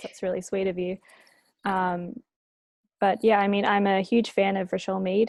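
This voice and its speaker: The background is quiet. A woman with an Australian accent speaks at a medium pitch. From Australia, Sydney. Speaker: author. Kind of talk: interview. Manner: casual, hesitant with fillers.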